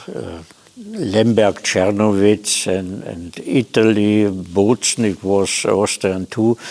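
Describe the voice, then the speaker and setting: Over noticeable background noise, a man speaks at a fairly low pitch with a German accent. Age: 80s+. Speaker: interviewee, elderly expellee and researcher. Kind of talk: interview. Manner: halting, with many hesitations.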